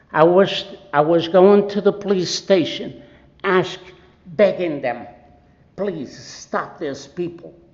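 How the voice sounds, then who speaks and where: A man with a high pitch talks at a very slow pace with ordinary pitch variation and long, frequent pauses, over noticeable background noise and audible room echo. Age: 70s. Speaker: resident speaking at public comment. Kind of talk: public comment at council meeting. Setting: city council meeting. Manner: impassioned.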